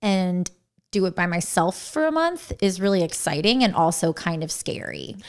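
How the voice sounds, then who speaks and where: In a very clean recording with a silent background, a woman uses a normal speaking voice at a medium pitch. Her intonation is lively and her pace moderate. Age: 30s. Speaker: podcast co-host. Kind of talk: casual chat.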